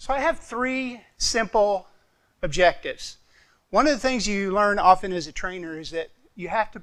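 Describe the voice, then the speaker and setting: A man's high, bright, sharp voice with an American accent, ordinary pitch variation and a moderate pace, on a very clean recording with a silent background. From Arkansas, US South. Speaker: clinical specialist and respiratory therapist. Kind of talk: conference presentation. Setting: stage with audience. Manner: casual, conversational.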